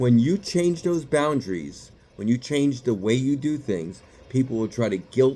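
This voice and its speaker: The voice has a dark, mellow tone with a slight New York accent. The pace is moderate. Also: man. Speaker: psychiatrist. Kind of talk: motivational talk to camera. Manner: casual, conversational.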